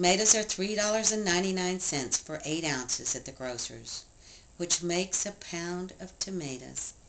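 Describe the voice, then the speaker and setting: Noticeable background noise sits behind a woman's voice. Her pitch is fairly low, with ordinary variation. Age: 60s. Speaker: write-in presidential candidate. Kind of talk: political campaign speech. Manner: impassioned.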